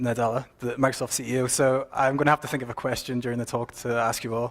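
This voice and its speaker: A man speaks with an Irish accent at a medium pitch. His pace is fairly quick and his intonation is monotone and flat. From Ireland. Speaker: software consultant and mentor. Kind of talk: conference talk.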